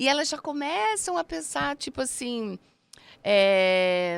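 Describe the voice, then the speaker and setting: A woman's voice with very wide pitch swings on a very clean recording with a silent background. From Brazil, Paraná. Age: 60s. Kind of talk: casual interview.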